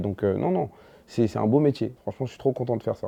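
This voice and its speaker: A man's medium-pitched voice. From Ivory Coast, then Paris 19th from age 12. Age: 30s. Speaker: stand-up comedian. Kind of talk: casual interview chat. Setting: sit-down interview over snacks. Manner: hesitant, many fillers and restarts.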